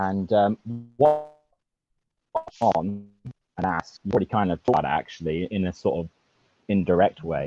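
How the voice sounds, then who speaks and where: With music in the background, a man speaks in a British accent at a moderate pace and a very deep, low pitch. His intonation is lively, and the sound is dry and close with no echo. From UK. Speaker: caller. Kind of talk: personal account on call-in. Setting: video call. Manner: hesitant, many fillers.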